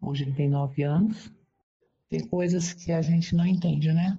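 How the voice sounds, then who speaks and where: A somewhat breathy woman at a moderate pace with ordinary pitch variation. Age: 60s. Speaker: interviewee sharing personal experience. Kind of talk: testimony. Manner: halting.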